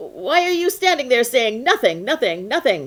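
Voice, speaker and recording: Someone puts on a character voice at a moderate pace, swinging very widely in pitch. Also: woman. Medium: read story. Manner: irritated.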